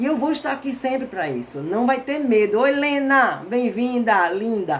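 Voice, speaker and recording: Over noticeable background noise, a woman with a northeastern Brazilian accent talks in an animated tone at a moderate pace. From Brazilian Northeast. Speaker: therapist. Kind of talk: live stream talk. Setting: live stream.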